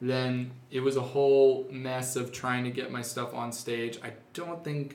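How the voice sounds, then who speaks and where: A man's medium-pitched, flat monotone at a fairly slow pace, with noticeable background noise and audible room echo. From Napa Valley, California. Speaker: musician. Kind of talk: casual interview.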